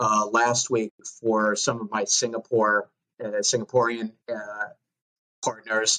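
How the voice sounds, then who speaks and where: With a Long Island accent and a bright, sharp tone, a man speaks at a fairly slow pace in monotone, flat intonation, with long, frequent pauses and a dry, close sound with no echo. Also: medium pitch for a man. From US Northeast, Long Island, New York. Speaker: fitness coach and educator. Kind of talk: podcast interview. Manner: hesitant with fillers.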